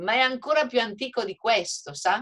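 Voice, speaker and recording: A woman speaks at a fairly slow pace in an animated tone with lively intonation. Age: 60s. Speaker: hotel owner. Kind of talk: webinar panel discussion. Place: home room. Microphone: video call.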